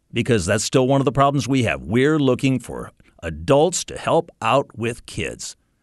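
Lively intonation and vocal fry in an American accent, at a moderate pace, with a dry, close sound, no echo, and a quiet background. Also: man. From US North. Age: 60s. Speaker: radio ministry staff and children's ministry volunteer. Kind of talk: testimony.

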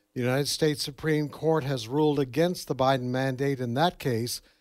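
On a very clean recording with a silent background, a man uses an unremarkable speaking voice with fairly even intonation. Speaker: news director. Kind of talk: news report.

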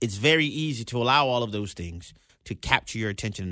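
The intonation is lively. The recording is very clean, with a silent background. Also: man. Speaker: radio talk show host. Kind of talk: radio talk show with Bible teaching. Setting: radio studio.

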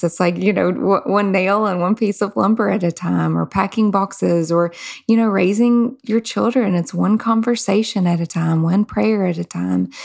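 A woman in a Southern US accent speaks at a medium pitch with very even loudness, fairly even intonation and hardly any pauses. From Kentucky. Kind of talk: faith-based interview.

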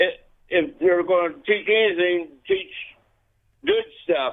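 Speaking at a fairly slow pace, a man with an American accent uses an unremarkable speaking voice and ordinary pitch variation. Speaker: caller. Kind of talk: call-in. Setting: phone call.

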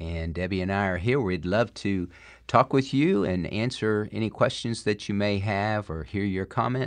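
Here a man talks with a fairly low pitch. His pitch varies in an ordinary way, and the background is quiet. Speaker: pastor. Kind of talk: call-in radio show. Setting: studio.

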